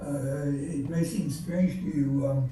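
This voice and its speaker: A man speaks with mostly level intonation, with clear background noise and a room echo you can hear. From Belgium (Antwerp). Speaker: Holocaust survivor speaker. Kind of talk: testimony. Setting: video call. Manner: halting.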